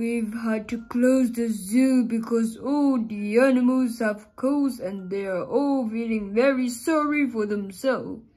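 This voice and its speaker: Hardly any pauses break this put-on character voice, which has a fairly high pitch and fairly even intonation and moves at a fairly slow pace. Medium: read story.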